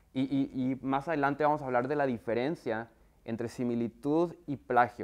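The man talks at a fairly slow pace. His pitch is medium and his intonation fairly even. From northern Mexico, Monterrey. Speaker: software company trainer for universities. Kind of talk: workshop presentation. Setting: video call with screen share. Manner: conversational, many fillers. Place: classroom. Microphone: lapel.

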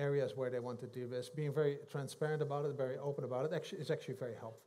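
A somewhat breathy voice with a dark, mellow tone in a Dutch accent, very fast and fairly even in intonation. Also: man. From Netherlands. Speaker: economist; guest. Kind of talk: interview. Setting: stage with audience. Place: stage.

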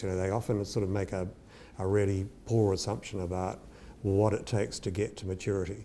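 A man's fairly low, dark, mellow voice at a very fast pace, with fairly even intonation over light background noise. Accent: New Zealand. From New Zealand. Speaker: entrepreneur. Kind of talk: interview storytelling. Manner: halting, many fillers. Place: kitchen. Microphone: lapel.

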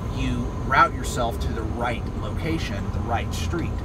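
Moderate pace over loud background noise. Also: man. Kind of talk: casual driving vlog tips. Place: car. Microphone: phone near.

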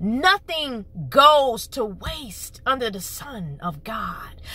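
Raised, projected female voice with very wide pitch swings, dry with no echo. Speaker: channel host. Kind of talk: prophetic sermon delivery. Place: car. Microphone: phone near.

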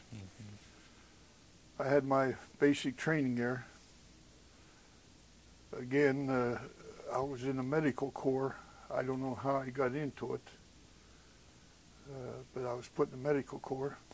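In a Western Pennsylvania accent, the speaker goes at a fairly slow pace with monotone, flat intonation and long, frequent pauses. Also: man, medium pitch for a man. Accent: Western Pennsylvania American English. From southwestern Pennsylvania, USA. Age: 70s. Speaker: WWII army medic veteran. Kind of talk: oral history interview answer.

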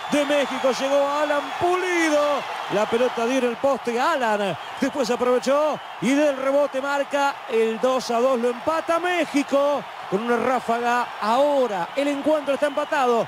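Against noticeable background noise, a man with an extremely high pitch speaks fairly slowly at a very even loudness. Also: ordinary pitch variation. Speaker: football commentator. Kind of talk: live sports commentary. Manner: animated, excitable.

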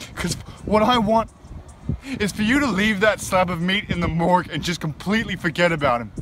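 At a fairly quick pace, a man with a high pitch and lively intonation speaks in a dry sound with no echo, against noticeable background noise. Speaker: actor. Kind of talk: dramatic monologue, a suspect's bitter confession-like speech to a detective. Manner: simmering, accusatory menace building to raw grief-stricken anger; sarcastic, taunting rhetorical questions. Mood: bitter, grieving, confrontational. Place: garden. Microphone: phone near.

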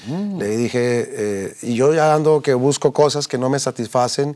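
A man's fairly high-pitched voice with ordinary pitch variation, over a quiet background. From Colombia, Bogotá. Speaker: businessman giving faith testimony; interview guest. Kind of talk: testimony interview. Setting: TV studio. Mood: earnest, reflective. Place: studio. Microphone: lapel.

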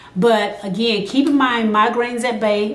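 A woman speaks in an animated, energetic tone at a moderate pace and a fairly high pitch. Audible room echo surrounds her voice. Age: 50s. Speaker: vlogger sharing health experience; vlogger sharing her health experience. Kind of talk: casual vlog talk to camera. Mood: earnest, encouraging. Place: home room.

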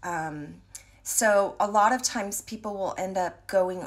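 Ordinary pitch variation from a woman. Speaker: voice teacher or vocal coach. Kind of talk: casual explanatory talk. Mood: thoughtful, earnest. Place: home room. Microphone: phone near.

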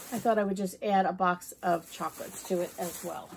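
Noticeable background noise accompanies a woman whose speech moves at a moderate pace. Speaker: home and budget vlogger. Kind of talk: casual product haul.

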